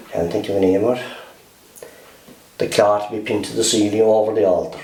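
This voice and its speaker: A man with a West Cork accent talks at a very fast pace in a fairly low pitch, his intonation fairly even, over noticeable background noise. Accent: West Cork Irish. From Mealagh Valley, West Cork, Ireland. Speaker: oral history interviewee. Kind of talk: interview answer. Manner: hesitant, conversational.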